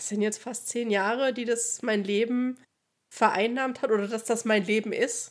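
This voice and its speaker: The recording is very clean with a silent background. A woman speaks with monotone, flat intonation. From Thuringia, eastern Germany (Oberhof). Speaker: podcast co-host. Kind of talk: casual chat.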